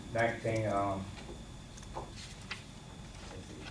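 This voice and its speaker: A man is heard through audible room echo, with noticeable noise in the background. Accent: North Carolina. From North Carolina. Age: 60s. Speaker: member of the public. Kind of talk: public comment. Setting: county board meeting. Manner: halting.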